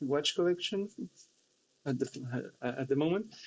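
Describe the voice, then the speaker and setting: The man's intonation is lively. He talks at a moderate pace. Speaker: hobbyist vlogger. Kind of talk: casual vlog monologue. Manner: halting, with fillers and repeats.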